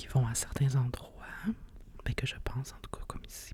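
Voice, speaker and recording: A woman whispers with a Quebec accent. Her pace is very slow. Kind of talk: ASMR whispered podcast talk. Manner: whispered, soft-spoken.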